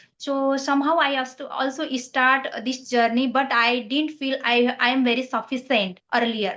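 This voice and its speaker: A woman with a Nepali accent speaks at a high pitch. Her pace is moderate and her intonation fairly even. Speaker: English learner. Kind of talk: casual chat. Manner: halting.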